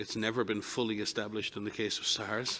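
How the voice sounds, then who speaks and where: A man speaks at a fairly quick pace. His fairly low voice stays monotone and flat. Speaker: public health doctor. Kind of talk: press briefing answer. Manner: fast.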